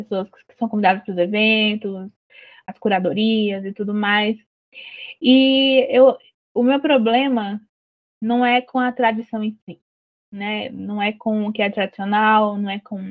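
The speech moves at a fairly slow pace with long, frequent pauses. Intonation stays fairly even. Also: woman, fairly high pitch for a woman. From Ceará, Brazilian Northeast (Juazeiro do Norte, Cariri). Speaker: writer and poet. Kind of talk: interview.

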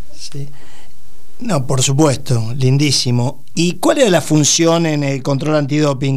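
Amid audible room echo and noticeable background noise, a man with a fairly high pitch speaks with fairly even intonation. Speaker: radio host. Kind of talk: radio interview.

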